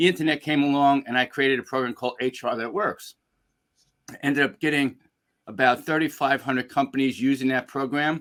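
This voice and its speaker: In a New York accent, a man speaks at a fairly quick pace in a fairly high voice with fairly even intonation. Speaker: executive coach and speaker. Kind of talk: webinar interview.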